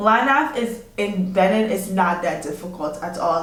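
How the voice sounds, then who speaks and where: With a non-native accent, a woman speaks at a fairly slow pace in an animated tone, her pitch swinging very widely against audible room echo. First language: not English. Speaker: army officer. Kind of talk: advice vlog. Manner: casual, animated.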